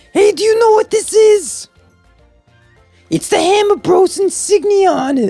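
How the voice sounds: An extremely high, strained put-on character voice moves at a moderate pace with long, frequent pauses over faint music in the background.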